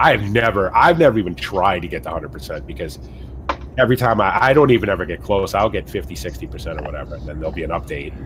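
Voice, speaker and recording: A man with a Massachusetts accent speaks very fast in a very deep, low voice, his pitch swinging very widely and his loudness shifting a lot. Noticeable background noise runs underneath. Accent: weird Massachusetts. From US Northeast, central Massachusetts. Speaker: gaming streamer. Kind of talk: casual chat.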